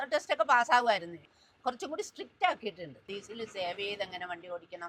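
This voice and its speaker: A woman talks at a medium pitch with very wide pitch swings. Her loudness rises and falls sharply. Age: 70s. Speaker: driving school owner and instructor. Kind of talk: interview answers and driving instruction.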